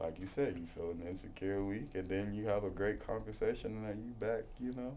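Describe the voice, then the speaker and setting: With audible room echo, a man speaks at a fairly quick pace in a fairly low, dark, mellow voice with ordinary pitch variation. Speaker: podcast co-host. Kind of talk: casual chat. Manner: fast.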